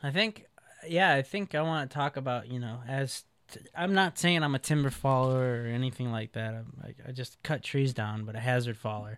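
With an American accent, a man speaks at a moderate pace in a medium pitch. His pitch varies in an ordinary way, while his loudness swings widely. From Chicago, Illinois (south side). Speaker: tree climber and faller. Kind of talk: casual interview.

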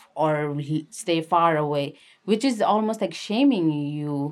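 A woman speaks with a Nepali accent at a very deep, low pitch with ordinary pitch variation. The recording is very clean, with a silent background. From Nepal, Kathmandu area. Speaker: activist and documentary filmmaker. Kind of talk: interview.

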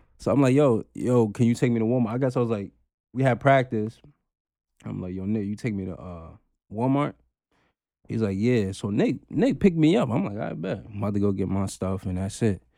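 In a very clean recording with a silent background, a man with a New York accent talks at a fairly quick clip, his medium-pitched voice dark and mellow in tone, with ordinary pitch variation. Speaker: podcaster, former football player. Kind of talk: casual chat.

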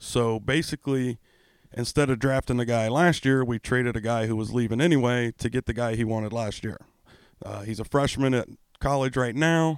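A man with a normal speaking voice, medium in pitch, at a fairly quick pace with fairly even intonation, in a dry, close sound with no echo on a very clean recording with a silent background. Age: 40s. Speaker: hockey podcast co-host, military veteran. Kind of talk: casual chat. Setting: studio.

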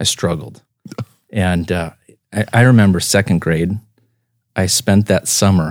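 A man with an American accent, very deep and low in pitch, at a fairly slow pace in a very clean recording with a silent background. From Iowa, US Midwest. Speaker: chiropractor. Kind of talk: casual chat.

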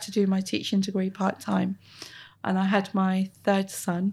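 Some breathiness comes through in the voice. Nothing sounds in the background of this very clean recording. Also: woman. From Plymouth, south-west England. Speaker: head of training at a boatbuilder. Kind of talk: interview. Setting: on site at a yacht factory.

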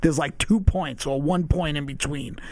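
With an unremarkable speaking voice, a man speaks at a fairly quick pace and fairly high pitch with ordinary pitch variation. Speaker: guest. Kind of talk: casual chat, interview.

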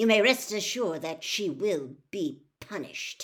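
Growling in a put-on character voice with a fairly high pitch, the speaker keeps a moderate pace. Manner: cold.

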